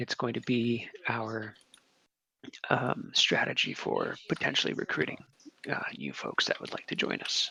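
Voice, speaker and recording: A man talks quietly at a fairly slow pace, leaving long, frequent pauses. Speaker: guild leader. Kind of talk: meeting address to group. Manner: quiet, low volume.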